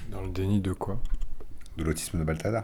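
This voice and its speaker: This man's voice has a dark, mellow tone and is somewhat breathy. His pitch varies in an ordinary way. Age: 40s. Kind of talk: testimony. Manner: halting, with many repetitions.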